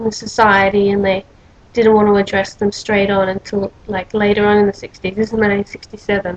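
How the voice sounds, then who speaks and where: With an Australian accent, a woman speaks at medium pitch and a moderate pace. Her intonation is monotone and flat. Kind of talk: casual talk to camera.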